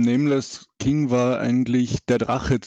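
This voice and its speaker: In a dry, close sound with no echo, a man speaks at medium pitch in a dark, mellow tone. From Austria. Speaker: gamer guest. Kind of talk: casual chat.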